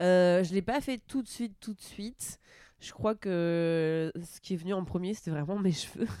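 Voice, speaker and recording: In an ordinary speaking voice, a woman talks at a fairly slow pace and medium pitch, with ordinary pitch variation and big swings in loudness. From northern France, Normandy. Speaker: comedian. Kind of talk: casual chat.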